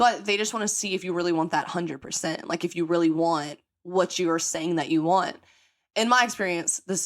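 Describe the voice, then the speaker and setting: A woman with an American accent and fairly low pitch, on a very clean recording with a silent background. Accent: country accent, comes out strong. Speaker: podcast host. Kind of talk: casual chat. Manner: fast; animated.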